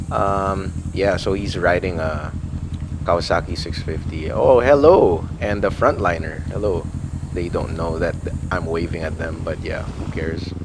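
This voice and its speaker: A man's very deep, low voice, fairly slow, with ordinary pitch variation, audible room echo, and noticeable background noise. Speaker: motovlogger. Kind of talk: casual vlog narration. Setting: riding a motorcycle outdoors. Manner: animated.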